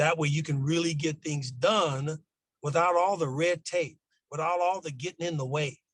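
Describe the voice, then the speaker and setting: Somewhat breathy and fairly high in pitch, a man with an American accent talks at a fairly quick pace with fairly even intonation. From Los Angeles, California. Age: 60s. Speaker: school district administrator. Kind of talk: podcast interview.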